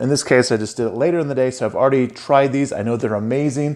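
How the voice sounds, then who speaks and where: A man with an American accent talks at a very fast pace. His medium-pitched voice has a dark, mellow tone and ordinary pitch variation. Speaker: cooking show host. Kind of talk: casual tasting chat. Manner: casual, conversational.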